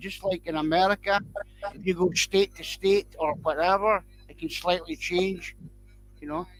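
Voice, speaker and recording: The speaker has a Scottish accent and a moderate pace. Music plays in the background. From Scotland. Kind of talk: casual chat.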